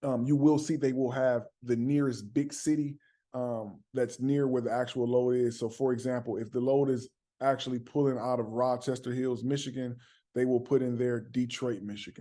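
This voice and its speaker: Over a quiet background, a man's medium-pitched voice carries a dark, mellow tone and monotone, flat intonation. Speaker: dispatch business coach. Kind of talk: tutorial. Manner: fast; casual.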